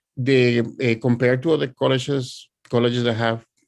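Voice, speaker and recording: A man speaks at a medium pitch with a strong Spanish accent. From Puerto Rico. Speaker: author and art educator. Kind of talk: presentation. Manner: halting.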